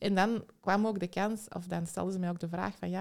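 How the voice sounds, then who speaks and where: Her voice sits at a medium pitch, and the woman keeps a fairly even intonation. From Belgium, Antwerp. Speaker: psychological consultant and educator. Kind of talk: interview.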